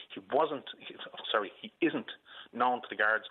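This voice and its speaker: A man speaks in a Dublin accent at a moderate pace. The background is quiet. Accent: Dublin Irish. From Ireland. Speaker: caller, uncle of a shooting victim. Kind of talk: radio phone-in. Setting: phone call from hospital. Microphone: phone line.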